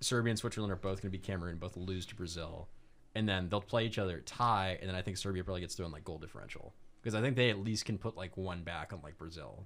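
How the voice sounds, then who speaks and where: A man's very deep, low voice in a Florida accent at a very fast pace, with ordinary pitch variation and big swings in loudness. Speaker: podcast co-host. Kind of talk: casual chat.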